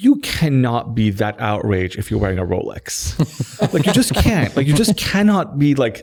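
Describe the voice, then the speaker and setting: A man with a Persian accent and very wide pitch swings. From Iran, moved to Toronto at 12. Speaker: tech company executive. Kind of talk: podcast interview. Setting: in-person studio interview. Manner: casual, many fillers and restarts.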